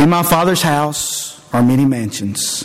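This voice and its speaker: Over noticeable background noise, a man with a fairly high pitch speaks at a fairly slow pace with ordinary pitch variation. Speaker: preacher. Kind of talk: sermon introduction with scripture reading. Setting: church.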